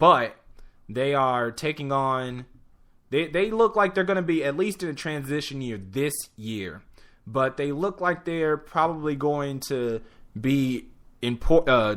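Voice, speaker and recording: A man with a plain, everyday voice speaks in an American accent. The recording is very clean, with a silent background. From Chicago area, US Midwest. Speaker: sports talk host. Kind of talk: solo sports preview show. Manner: casual, filler-heavy.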